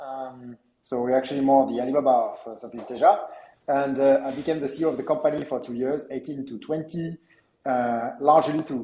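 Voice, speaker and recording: A man speaks in a French accent with a dark, mellow tone and a fairly high pitch. He goes at a fairly quick pace, his intonation fairly even but with big swings in loudness. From France. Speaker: entrepreneur, company co-founder. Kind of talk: interview. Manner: halting, many fillers.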